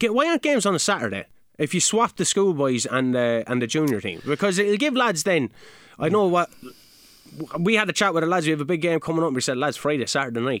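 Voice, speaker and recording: Speaking at a very fast pace with a Kilkenny Irish accent, a man uses a fairly high voice with very wide pitch swings and very even loudness, captured in a dry, close sound with no echo. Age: 30s. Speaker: local soccer podcast co-host and club player. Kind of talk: results and fixtures rundown; casual chat.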